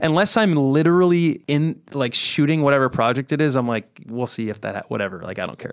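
With an American accent, a man talks in an unremarkable speaking voice at a fairly high pitch and fairly quick pace, using lively intonation and hardly any pauses. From Southern California. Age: 30s. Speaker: country music singer. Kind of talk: casual chat. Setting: studio.

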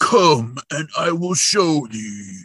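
A man puts on a growling character voice. Its pitch is fairly high. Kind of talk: archaic, formal. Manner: dramatic, growling.

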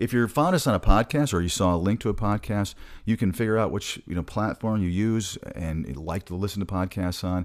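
A man's fairly low voice in an American accent at a fairly quick pace, with hardly any pauses, ordinary pitch variation and a very clean recording with a silent background. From US Midwest, Michigan. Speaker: podcast host, travel healthcare staffing recruiter. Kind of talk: casual podcast monologue. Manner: fast talker.

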